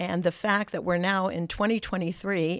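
A woman's plain, everyday voice with an American accent, medium in pitch with ordinary pitch variation, at a moderate pace, on a very clean recording with a silent background. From United States. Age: 60s. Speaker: grandmother and trip concierge. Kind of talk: casual interview chat.

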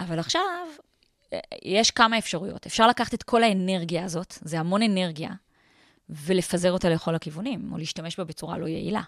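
At a fairly quick pace, a woman with an ordinary speaking voice talks at a medium pitch with ordinary pitch variation. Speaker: entrepreneur and author. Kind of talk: interview. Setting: studio.

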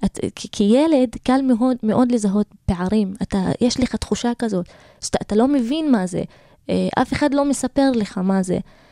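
Dry and close with no echo, a woman's dark, mellow tone comes through at a moderate pace with ordinary pitch variation. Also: fairly high pitch for a woman. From Israel, Galilee (Druze community, Karmiel area). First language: Arabic (speaking Hebrew). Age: 20s. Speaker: lawyer and social activist. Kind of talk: interview. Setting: radio studio. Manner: halting.

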